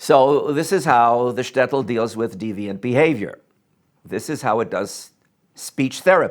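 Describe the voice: Ordinary pitch variation in plain reading aloud, the background quiet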